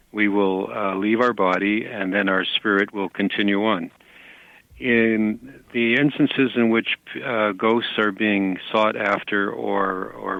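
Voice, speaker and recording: A plain, everyday voice from a man with a Canadian accent, fairly low in pitch, fairly slow, and fairly even in intonation. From Canada. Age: 60s. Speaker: psychic. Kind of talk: interview.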